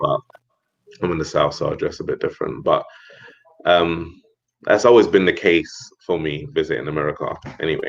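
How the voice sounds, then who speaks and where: A man with a London accent, talking at a fairly quick pace broken by long, frequent pauses. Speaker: expat guest. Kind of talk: casual chat.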